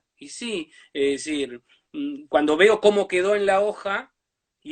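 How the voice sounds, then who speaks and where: A man speaks in a high voice. His intonation is lively. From Uruguay, Brazil border region. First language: Portuñol (Spanish-Portuguese mix) (speaking Spanish). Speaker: writer. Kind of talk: interview.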